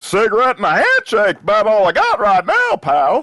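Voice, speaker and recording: A man performs a put-on character voice at a high pitch, keeping his loudness very even at a moderate pace. The sound is dry and close, with no echo. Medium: audio drama. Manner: cantankerous, cursing.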